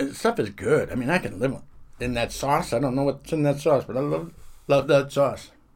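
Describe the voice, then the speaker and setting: With a Boston accent, a man speaks at a moderate pace, his fairly high pitch carrying lively intonation and vocal fry. The recording is very clean, its background silent. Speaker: comedian, former military contractor. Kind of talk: casual chat.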